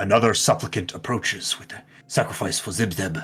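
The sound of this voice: A man's put-on character voice, fairly low in pitch and fairly quick in pace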